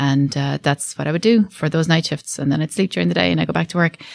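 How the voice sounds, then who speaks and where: A woman's very deep, low voice in a Cork accent. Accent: Irish (Cork). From Ireland, Midleton, County Cork. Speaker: animation director and studio co-founder. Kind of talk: interview.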